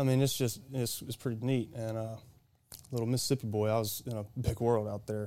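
Delivered at a fairly quick pace, the voice has a dark, mellow tone and monotone, flat intonation. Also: man, medium pitch for a man. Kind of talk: casual chat.

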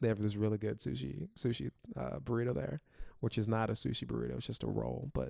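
A man's fairly low, dark, mellow voice with vocal fry, an American accent and very wide pitch swings, in a dry, close sound with no echo. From Florida. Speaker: comedian. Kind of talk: casual chat. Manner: animated.

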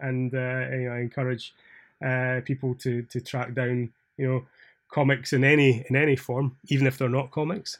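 A man with a Scottish accent talks at a moderate pace in a flat, monotone way. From Scotland. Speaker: podcast host. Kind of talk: casual chat.

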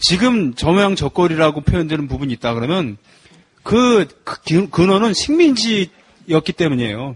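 In a dry, close sound with no echo, a man speaks at a moderate pace with a high pitch and very wide pitch swings. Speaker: folk protest singer. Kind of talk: casual chat.

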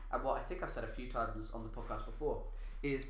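Room echo is audible on this recording. A man talks at a fairly quick pace. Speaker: podcast host. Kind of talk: casual chat.

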